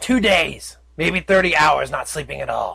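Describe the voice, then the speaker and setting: A put-on character voice from a man, delivered at a moderate pace. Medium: read story. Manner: brisk, exasperated.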